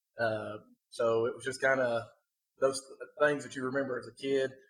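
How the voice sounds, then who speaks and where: Speaking with an Appalachian accent, a man keeps a monotone, flat intonation. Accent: Appalachian Southern US. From Kentucky (eastern mountains, then Somerset). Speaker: podcast host, youth sports coach. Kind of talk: casual podcast chat. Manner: hesitant, many filler words.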